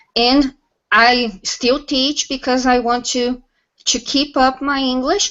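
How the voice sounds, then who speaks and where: Speaking at a very slow pace, a woman with a Portuguese accent holds a high pitch with fairly even intonation. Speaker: English teacher and software tester. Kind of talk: casual panel discussion on video call.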